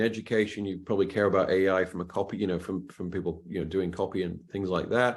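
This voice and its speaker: A man with a British accent. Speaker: cybersecurity expert, webinar panelist. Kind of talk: webinar panel Q&A. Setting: online webinar. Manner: hesitant, many restarts and fillers.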